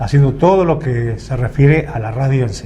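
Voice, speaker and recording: There is noticeable background noise and audible room echo. A man with a Rioplatense accent speaks with fairly even intonation. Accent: Argentine Rioplatense Spanish. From Argentina, Buenos Aires province. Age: 80s+. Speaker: veteran radio and TV announcer. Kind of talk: interview.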